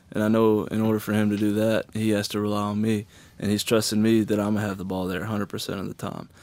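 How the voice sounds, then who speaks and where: A man with a Southern US accent talks at a very fast pace in a fairly low pitch. His intonation stays monotone and flat on a very clean recording with a silent background. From Alabama and middle Tennessee. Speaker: college football player. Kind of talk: interview.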